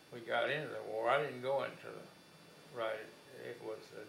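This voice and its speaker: In an American accent, a man speaks at a fairly slow pace with audible room echo. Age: 80s+. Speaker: war veteran. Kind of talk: oral history interview. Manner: halting.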